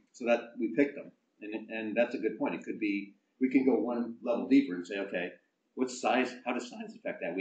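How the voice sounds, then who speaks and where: A man's medium-pitched voice at a fairly quick pace, with ordinary pitch variation, big swings in loudness and audible room echo. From New York State. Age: 60s. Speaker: business association executive; guest. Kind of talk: talk to an audience. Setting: stage with audience. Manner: animated. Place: meeting room. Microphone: camera far.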